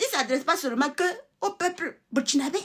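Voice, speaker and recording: A woman uses a raised, projected voice with very wide pitch swings. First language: a Togolese native language (speaking French). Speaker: political commentator, channel owner. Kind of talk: online political monologue. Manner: animated.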